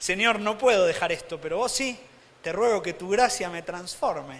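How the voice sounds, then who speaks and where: A man with an Argentine accent talks at a moderate pace and high pitch with ordinary pitch variation, over audible room echo. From Argentina. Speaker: preacher. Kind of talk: sermon. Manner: animated.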